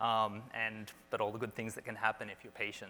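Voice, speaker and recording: This man has an Australian accent and a fairly low pitch. He speaks at a fairly quick pace. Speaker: space entrepreneur and commercial astronaut. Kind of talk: conference talk. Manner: casual, with fillers and restarts.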